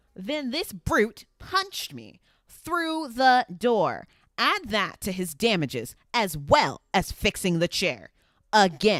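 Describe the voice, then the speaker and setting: A put-on character voice, nasal, fairly high and raised to project, at a very slow pace. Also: female-sounding voice. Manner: aggrieved, whiny.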